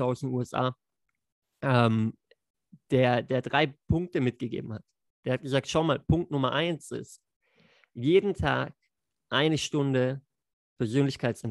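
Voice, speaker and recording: Very slowly and with long, frequent pauses, a man speaks at a medium pitch with fairly even intonation, in a dry, close sound with no echo. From Lake Constance region, southern Germany. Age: 30s. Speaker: network marketer. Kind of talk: podcast interview. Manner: hesitant, many fillers.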